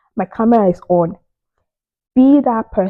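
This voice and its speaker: A woman with a Nigerian accent speaks in an animated tone. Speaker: immigrant career advice vlogger. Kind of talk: casual advice monologue.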